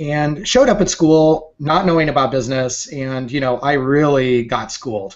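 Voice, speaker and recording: A man with a fairly high pitch speaks at a moderate pace with hardly any pauses and ordinary pitch variation. It is a plain, everyday voice over a quiet background. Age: 40s. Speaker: entrepreneur and photographer. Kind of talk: interview. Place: office. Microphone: webcam.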